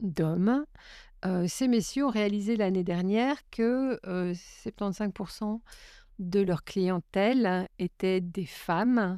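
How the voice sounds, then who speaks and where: The recording is very clean with a silent background. A woman talks at a very slow pace with a medium pitch and a dark, mellow tone. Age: 60s. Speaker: business executive and feminist activist. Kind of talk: podcast interview. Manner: hesitant with many fillers.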